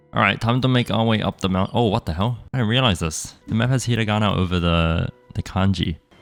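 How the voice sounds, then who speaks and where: A man's fairly low voice at a fairly quick pace, with ordinary pitch variation and very even loudness, over music in the background. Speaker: gaming youtuber. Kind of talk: scripted narration; gameplay commentary. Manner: casual.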